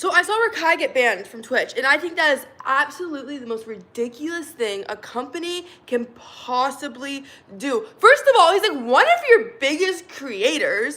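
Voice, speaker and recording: A woman with a Southern Californian accent speaks at a moderate pace in a high, raised, projected voice, her tone animated. Her loudness swings widely, and her pitch swings very wide. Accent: Valley Girl. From Arizona. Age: 20s. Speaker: live streamer. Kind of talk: casual live stream chat. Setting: live stream.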